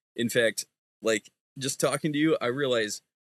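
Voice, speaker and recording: In an American accent, a man speaks at a moderate pace with ordinary pitch variation, the sound dry and close with no echo. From United States. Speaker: Bible student. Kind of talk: casual chat.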